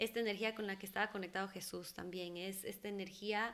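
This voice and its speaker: A woman speaks in a bright, sharp tone. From Ecuador, moved to the US at age 10. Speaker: holistic therapist. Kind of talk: interview conversation. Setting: studio.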